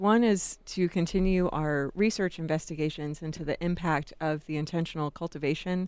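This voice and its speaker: A woman with an American accent talks at a moderate pace in a plain, everyday voice. Her pitch sits fairly low with ordinary variation, and the background is quiet. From Jacksonville, Florida. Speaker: compassion center director. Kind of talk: radio interview.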